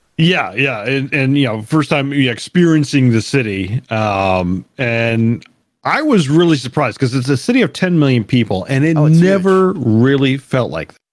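An ordinary speaking voice from a man at a medium pitch, with lively intonation and a moderate pace. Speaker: podcast host. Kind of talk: casual chat.

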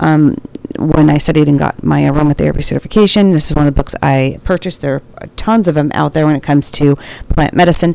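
Over noticeable background noise, a woman with a very deep, low voice talks at a very fast pace with ordinary pitch variation. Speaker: nurse podcaster. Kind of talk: casual solo podcast intro and commentary. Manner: informal, rambling, halting.

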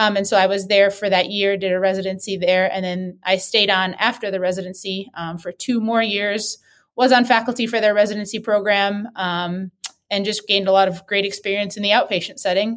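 Fairly quick, monotone and flat speech from a woman with an American accent and a medium pitch, on a very clean recording with a silent background. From US Midwest, Wisconsin. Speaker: sports physical therapist. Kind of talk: interview.

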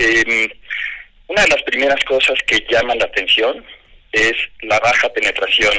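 The speech goes fairly slowly, and noticeable noise runs in the background. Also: man. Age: 50s. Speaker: fintech company CEO. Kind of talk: radio interview.

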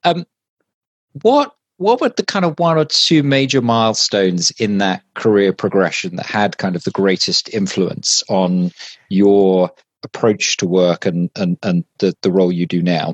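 Speaking in an unremarkable speaking voice, a man with fairly low pitch and lively intonation talks at a fairly slow pace. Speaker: marketing executive and co-host. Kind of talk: interview.

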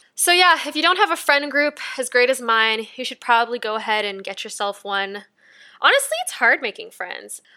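With a bright, sharp tone and lively intonation, a woman speaks at a high pitch and a moderate pace, her loudness swinging widely. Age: 20s. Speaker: podcast host. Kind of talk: casual solo podcast monologue. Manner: casual, conversational.

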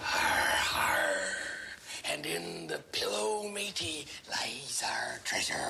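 The put-on character voice goes at a very slow pace. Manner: theatrical pirate growl.

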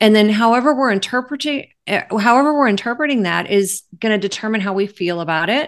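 Against a quiet background, a woman with a plain, everyday voice and a fairly high pitch talks at a fairly quick pace with lively intonation and hardly any pauses. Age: 50s. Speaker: life coach. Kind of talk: interview.

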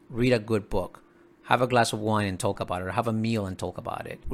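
A man with fairly low pitch and a Spanish accent, with ordinary pitch variation. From Dominican Republic, rural mountain town. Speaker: professor and author. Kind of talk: interview.

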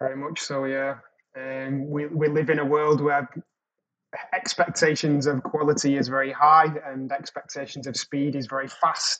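A fairly high-pitched man with a British accent, monotone, flat intonation and a moderate pace. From England. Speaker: creative production executive. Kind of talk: casual chat.

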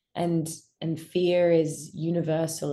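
A woman's fairly low, dark and mellow voice in an Australian accent, with monotone, flat intonation. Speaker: actor. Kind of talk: interview.

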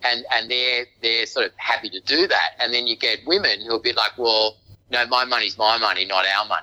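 A man with an Australian accent talks at a moderate pace and medium pitch in a bright, sharp tone. His intonation is fairly even, and the sound is dry and close with no echo. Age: 50s. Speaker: real estate agency owner. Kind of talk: interview. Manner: halting.

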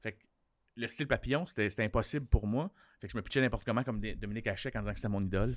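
A man talks very fast in a fairly low voice with a Quebec accent, vocal fry, and ordinary pitch variation. The recording is very clean, with a silent background. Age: 40s. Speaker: comedian. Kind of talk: casual chat.

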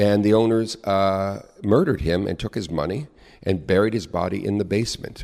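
Very deep and low in pitch, a man talks with a West Coast US accent. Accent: General American (West Coast). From Southern California (Long Beach). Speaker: actor and performer. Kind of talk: casual interview.

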